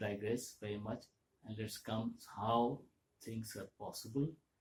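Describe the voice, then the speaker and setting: A man at medium pitch talks at a fairly slow pace. His voice is somewhat breathy. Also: long, frequent pauses. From India, Kolkata. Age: 70s. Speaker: vlogger. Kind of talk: monologue talk. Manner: halting.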